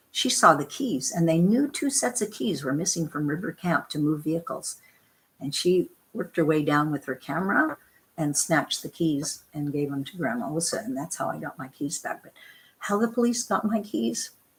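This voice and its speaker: A woman speaks with a Canadian accent at a fairly low pitch. Her somewhat breathy voice makes very wide pitch swings. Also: moderate pace. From western Canada, Vancouver/Richmond. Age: 70s. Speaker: protest camp cook. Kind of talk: interview storytelling. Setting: online video show.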